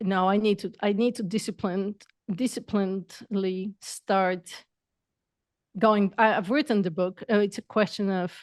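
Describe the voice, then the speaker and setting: At a moderate pace with long, frequent pauses, a speaker with a non-native accent comes through on a very clean, silent-background recording with a dry, close sound and no echo. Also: woman, medium pitch for a woman, fairly even intonation. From Bulgaria. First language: not English. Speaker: entrepreneur and coach. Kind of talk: podcast interview.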